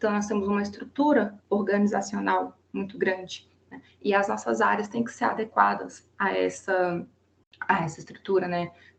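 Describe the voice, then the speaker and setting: A woman talks at a moderate pace. Her volume moves in big swings in loudness. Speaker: student presenting thesis defense. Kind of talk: academic presentation. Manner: halting, many fillers and restarts.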